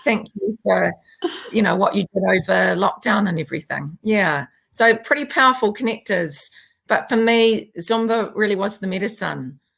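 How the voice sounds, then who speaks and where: The speaker talks with a New Zealand accent and lively intonation. Vocal fry runs through the voice. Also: woman, medium pitch for a woman, moderate pace. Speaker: naturopath and yoga and Zumba teacher. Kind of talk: interview conversation.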